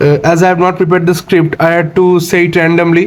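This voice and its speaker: Against noticeable background noise, this man's voice sits at a high pitch. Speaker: explainer video host. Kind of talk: unscripted educational explainer. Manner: halting, frequent fillers and restarts.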